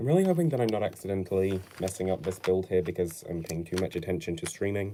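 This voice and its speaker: A man with a British accent talks at a very fast pace in a very deep, low pitch, with a dark, mellow tone and ordinary pitch variation. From Britain. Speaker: LEGO build streamer. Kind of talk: casual live stream while building. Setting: home, no studio. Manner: casual, hesitant with fillers.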